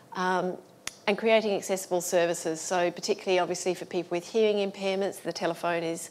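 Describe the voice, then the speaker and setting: The speaker has an Australian accent and talks at a very fast pace. The intonation stays fairly even. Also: woman. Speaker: accessibility consultant. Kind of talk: conference talk.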